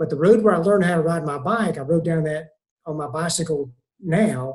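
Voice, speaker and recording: A man talks at a fairly quick pace, his fairly high pitch moving with ordinary variation. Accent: Southern US. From US South, Columbia, South Carolina. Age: 60s. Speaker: retired pastor. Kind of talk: casual interview.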